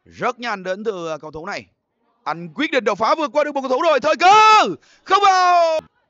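A man speaks at a moderate pace in an extremely high pitch, his voice swinging very widely up and down. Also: big swings in loudness. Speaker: football commentator. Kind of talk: live football match commentary.

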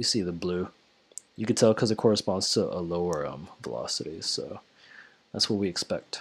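Pitched fairly low, a man talks at a fairly quick pace but leaves long, frequent pauses. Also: ordinary pitch variation. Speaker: engineering student. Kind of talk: tutorial. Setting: home recording with headset. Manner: casual, hesitant with many fillers. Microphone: headset.

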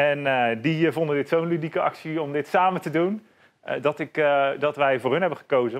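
A normal speaking voice from a man, fairly high in pitch and at a fairly slow pace. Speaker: bar owner. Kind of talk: casual interview. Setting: in his bar.

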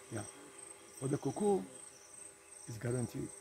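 A man with a Ghanaian accent at a fairly quick pace, dry with no echo, over light background noise. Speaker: farmer and former military officer. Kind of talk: interview answer. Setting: outdoors. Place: farm machine. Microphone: phone near.

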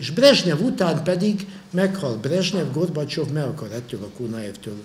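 A man talks with vocal fry at a fairly high pitch. His pace is fairly slow and his pitch swings very widely. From Hungary. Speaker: historian and university lecturer; university lecturer. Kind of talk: lecture. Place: hall. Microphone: podium.

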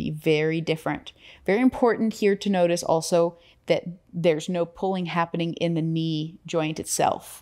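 Against a quiet background, a woman speaks fairly low at a moderate pace with fairly even intonation. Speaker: yoga or movement instructor. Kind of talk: tutorial. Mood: relaxed, friendly, casual. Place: studio.

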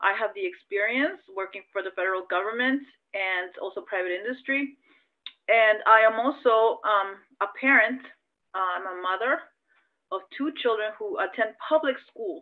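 Here a woman speaks with an American accent at a fairly high pitch. She uses ordinary pitch variation at a moderate pace. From California, US. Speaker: congressional candidate. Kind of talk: interview. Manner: halting.

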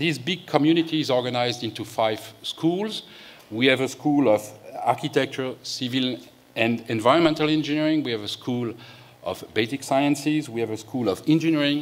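Pitch varies in an ordinary way as the speaker keeps a moderate pace. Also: man. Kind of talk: opening speech. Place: hall. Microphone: podium.

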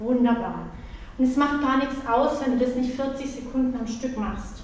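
A high-pitched woman's voice in strong room echo, with light background noise. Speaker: fitness instructor. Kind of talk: exercise class instruction. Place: gym.

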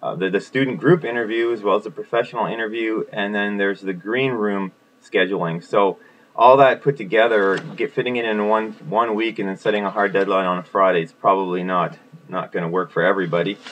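Over light background noise, a man with fairly low pitch and ordinary pitch variation talks at a fairly quick pace. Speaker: teacher. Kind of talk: explanatory talk about a lesson plan. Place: home room. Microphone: webcam.

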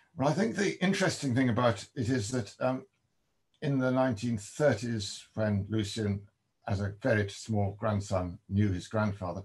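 A man's somewhat breathy voice moves at a fairly slow pace with ordinary pitch variation over a quiet background. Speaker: guest. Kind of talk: interview answer. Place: home room. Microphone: video call.

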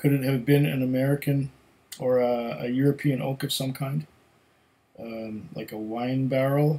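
The tone is dark and mellow, with ordinary pitch variation. The pace is moderate. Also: man. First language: German. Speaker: whisky tasting video host. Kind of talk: casual solo tasting review. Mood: relaxed, thoughtful. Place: home room.

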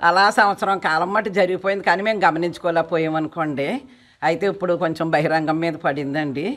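A fairly low-pitched woman's voice with fairly even intonation. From Andhra Pradesh. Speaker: self-help group member, fraud victim. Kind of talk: street interview. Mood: aggrieved, explaining a loss. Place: street. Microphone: handheld.

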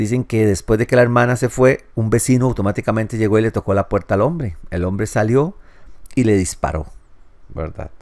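A man with an ordinary speaking voice talks at a fairly quick pace, his medium pitch showing ordinary pitch variation. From Costa Rica. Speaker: ex-Jehovah's Witness YouTuber. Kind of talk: news commentary monologue.

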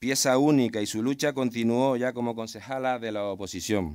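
A man with a Canarian accent, at a moderate pace, with ordinary pitch variation against a quiet background. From Canary Islands (Tenerife, San Juan de la Rambla). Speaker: mayor. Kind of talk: ceremonial speech. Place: open country. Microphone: podium.

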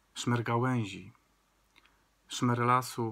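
Speaking very slowly, a man sounds calm and soothing, his tone bright and sharp. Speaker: video creator reading poetry aloud. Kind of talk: poem reading. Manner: slow, calm, soothing and gentle; measured, incantatory, with the refrain repeated like a blessing. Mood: calm, gentle, reflective. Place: home room. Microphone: phone near.

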